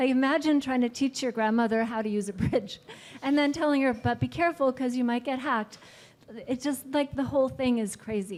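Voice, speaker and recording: A woman speaks loudly at a fairly quick pace. Her pitch is high, with ordinary variation. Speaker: blockchain panelist. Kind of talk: panel discussion.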